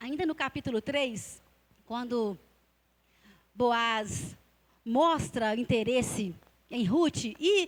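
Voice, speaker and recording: Using a high pitch with very wide swings, a woman speaks with long, frequent pauses. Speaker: Bible teacher at church. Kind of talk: Bible teaching in church service. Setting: church with congregation. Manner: hesitant, many fillers.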